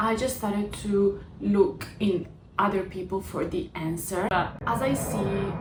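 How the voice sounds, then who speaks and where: A woman with an Italian accent talks over music in the background, with audible room echo. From Italy. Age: 20s. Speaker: vlogger. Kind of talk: personal vlog.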